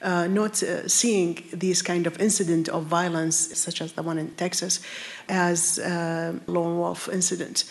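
A woman at a fairly low pitch, fairly slow pace, noticeable background noise. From Iraq. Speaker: nonprofit director, panelist. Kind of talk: panel discussion. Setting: live town hall with audience.

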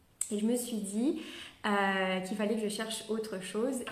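Fairly high-pitched female voice with fairly even intonation and audible room echo. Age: 30s. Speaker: network marketing leader. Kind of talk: motivational talk. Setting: live video stream. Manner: halting.

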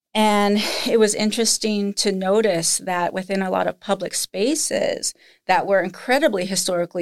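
This woman has an unremarkable speaking voice with lively intonation at a moderate pace. The recording is very clean, with a silent background. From United States, moved around the country. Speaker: museum director. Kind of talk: interview.

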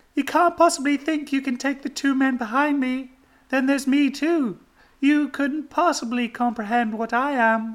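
A put-on character voice, female-sounding and high-pitched, at a moderate pace in a very clean recording with a silent background

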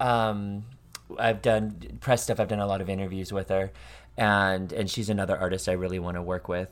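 This man has an unremarkable speaking voice with fairly low pitch. He talks at a moderate pace in a very clean recording with a silent background. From US, Montana. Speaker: singer-songwriter. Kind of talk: casual interview.

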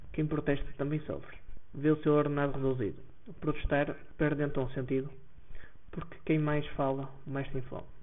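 A man's fairly high, monotone voice with flat intonation, at a moderate pace with long, frequent pauses. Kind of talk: poem performed aloud, satirical political verse. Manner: sardonic, indignant, mocking tone.

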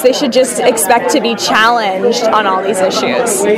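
Over crowd noise in the background and audible room echo, a woman with a fairly high pitch and an American accent speaks at a moderate pace with fairly even intonation. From Los Angeles, US. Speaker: stage actor. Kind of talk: casual interview.

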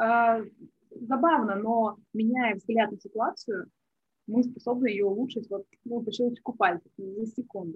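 Somewhat breathy and fairly high-pitched, a woman speaks at a fairly slow pace with ordinary pitch variation. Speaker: business tracker and marketer. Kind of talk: interview podcast conversation.

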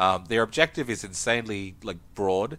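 A bright, sharp voice with an Australian accent and ordinary pitch variation. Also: man, very clean recording, silent background. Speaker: tabletop game podcast co-host. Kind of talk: casual chat.

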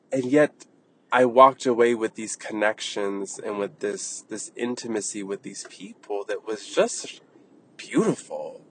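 A man speaks at a fairly slow pace with big swings in loudness, in a dry, close sound with no echo and noticeable background noise. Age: 30s. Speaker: wellness podcast host. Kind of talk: casual monologue. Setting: in a car.

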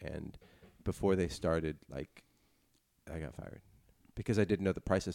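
Speaking at a fairly quick pace, a man with a very deep, low pitch and a dark, mellow tone lets vocal fry creep into his words. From Chinese family background. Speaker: podcast co-host. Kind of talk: casual chat.

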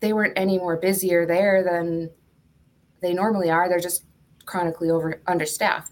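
In an American accent, a woman speaks in a flat monotone at a fairly low pitch. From Duluth, Minnesota. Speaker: nurse. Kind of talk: casual interview.

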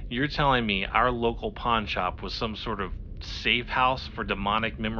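This clip is plain reading aloud.

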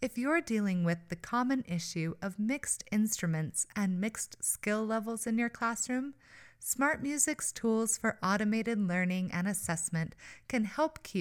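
A woman's plain, everyday voice at medium pitch, with lively intonation and a fairly slow pace. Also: very clean recording, silent background. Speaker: podcast host. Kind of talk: interview conversation.

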